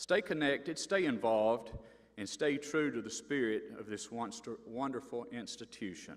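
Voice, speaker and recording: A man with an Appalachian accent, medium pitch, lively intonation and a moderate pace. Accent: Appalachian Southern US. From North Carolina mountains. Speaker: university board member, former sheriff. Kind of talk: commencement speech. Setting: stage with audience.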